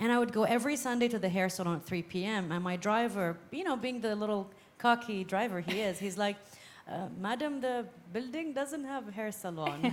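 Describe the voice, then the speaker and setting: With a plain, everyday voice, a woman talks at a fairly quick pace, her fairly high pitch carried by lively intonation. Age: 40s. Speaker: panelist. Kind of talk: panel discussion.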